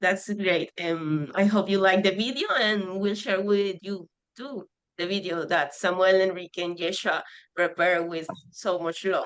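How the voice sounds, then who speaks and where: A woman speaks with a Spanish accent at a medium pitch. Her pace is fairly slow and her intonation fairly even. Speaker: conservation project member. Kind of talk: Q&A on video call. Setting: video call. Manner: halting, hesitant.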